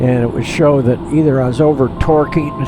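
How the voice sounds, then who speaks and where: A man's fairly high, fairly evenly intoned voice amid audible room echo and noticeable background noise. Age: 80s+. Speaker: flight simulator gamer, retired pilot. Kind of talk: casual gameplay commentary. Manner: halting, with frequent repetitions.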